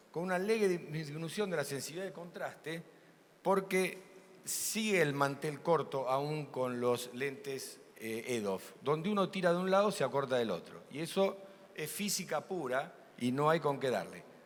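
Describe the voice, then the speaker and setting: A man's fairly high voice with lively intonation, moderate pace and audible room echo. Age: 70s. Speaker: ophthalmic surgeon. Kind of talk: conference talk.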